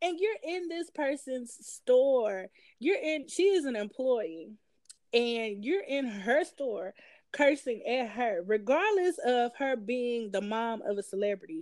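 At a very slow pace, a woman with a Southern US accent speaks at a high pitch with very wide pitch swings, in a very clean recording with a silent background. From Tennessee. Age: 30s. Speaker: podcast co-host, nurse. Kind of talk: casual chat.

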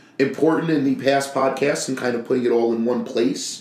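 There is audible room echo as a man speaks at a medium pitch with fairly even intonation. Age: 30s. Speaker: podcast co-host, painting contractor. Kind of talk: casual chat.

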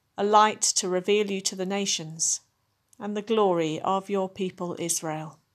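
On a very clean recording with a silent background, a woman uses a plain, everyday voice at medium pitch with fairly even intonation. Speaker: service leader. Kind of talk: compline service, liturgical prayer and scripture reading. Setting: recorded podcast service for people at home. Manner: hushed, slow, reverent, with long pauses; fervent, imploring, tender intercession.

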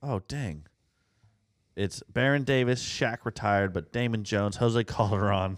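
On a very clean recording with a silent background, a man with an ordinary speaking voice talks at a fairly slow pace, his pitch fairly low with ordinary variation. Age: 30s. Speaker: podcast co-host. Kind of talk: casual chat.

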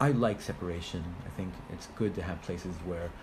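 There is audible room echo as a man with an American accent speaks at a moderate pace in a very deep, low voice with ordinary pitch variation. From United States. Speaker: rabbi. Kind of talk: interview.

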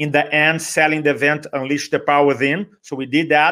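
A man with a Brazilian accent and a fairly high pitch, on a very clean recording with a silent background. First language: Portuguese. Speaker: motivational speaker. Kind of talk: interview. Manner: enthusiastic.

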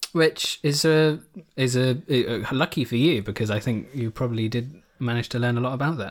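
This man speaks in a plain, everyday voice at a medium pitch, with ordinary pitch variation and a moderate pace. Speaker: podcast co-host. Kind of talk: casual chat. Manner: joking.

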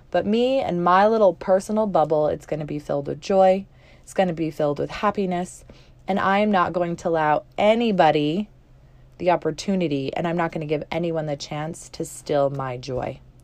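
A woman uses a plain, everyday voice at a fairly low pitch with ordinary pitch variation. She keeps a moderate pace while her loudness swings widely. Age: 30s. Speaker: women's life coach and podcast host. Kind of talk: motivational solo podcast talk.

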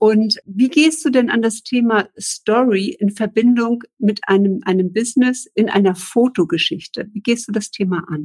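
Fairly high in pitch and somewhat breathy, a woman talks at a fairly slow pace with ordinary pitch variation. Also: hardly any pauses, dry, close sound with no echo. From northern Germany (Eckernförde, Baltic coast). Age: 40s. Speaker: podcast host. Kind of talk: interview. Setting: video live stream.

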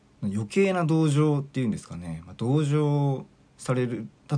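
Over a silent background in a very clean recording, a man with a fairly high pitch and lively intonation talks in an ordinary speaking voice. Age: 40s. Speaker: podcast host and mental coach. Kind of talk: solo monologue podcast. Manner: casual, filler-heavy.

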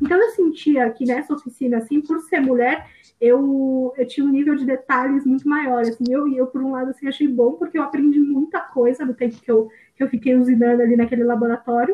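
A woman's high voice at a fairly quick pace. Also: ordinary pitch variation. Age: 20s. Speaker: engineering student. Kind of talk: casual chat.

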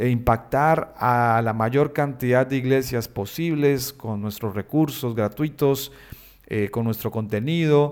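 At a very slow pace, a man talks with medium pitch and ordinary pitch variation. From Colombia, Bucaramanga. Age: 30s. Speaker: pastor and web designer, podcast host. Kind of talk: solo podcast monologue. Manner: hesitant fillers.

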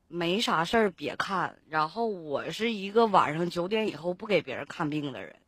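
A woman with a fairly low pitch and ordinary pitch variation speaks at a moderate pace with hardly any pauses and big swings in loudness, on a very clean recording with a silent background. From Liaoning, Benxi. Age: 20s. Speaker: caller. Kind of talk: casual chat.

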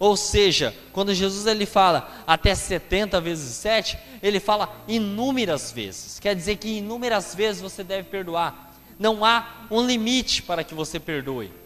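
Against noticeable background noise, a man talks at a moderate pace in a high voice with ordinary pitch variation. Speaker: preacher. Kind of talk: sermon. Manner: earnest, explanatory preaching pace, repeating phrases for emphasis; addresses listeners directly and asks rhetorical questions.

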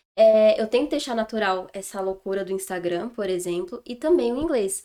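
In a plain, everyday voice, a woman talks at a fairly quick pace with a fairly high pitch. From São Paulo state, Brazil. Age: 20s. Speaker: English teacher. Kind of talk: casual interview chat.

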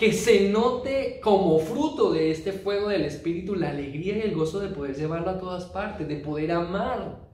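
The speaker has an animated tone and lively intonation, moving at a moderate pace with hardly any pauses. Noticeable background noise runs underneath. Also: man, high pitch for a man. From Colombia, Huila (Neiva). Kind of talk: sermon.

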